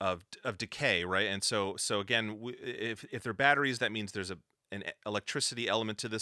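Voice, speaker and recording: A man speaks at a fairly quick pace in a fairly low pitch with fairly even intonation and a bright, sharp tone, in a very clean recording with a silent background and a dry, close sound with no echo. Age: 40s. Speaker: video game composer. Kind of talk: interview. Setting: home studio. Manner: halting.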